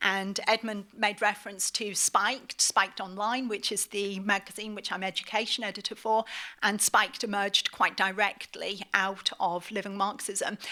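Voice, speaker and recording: Speaking at a moderate pace in a British accent, a woman holds a medium pitch with monotone, flat intonation and a bright, sharp tone. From northeast England, Middlesbrough. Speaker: academic and author. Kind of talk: lecture.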